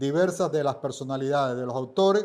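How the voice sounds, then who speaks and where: A man talks with an eastern Cuban accent and ordinary pitch variation. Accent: Cuban Spanish (eastern Cuba). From Cuba, Holguín. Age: 70s. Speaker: book editor and writer. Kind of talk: podcast interview.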